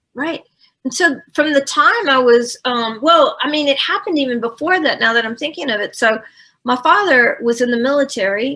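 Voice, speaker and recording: A woman projects a raised voice at a high pitch, her tone bright and sharp and her intonation lively. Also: moderate pace. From south Louisiana, Cajun. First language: French. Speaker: human design practitioner. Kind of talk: personal storytelling interview.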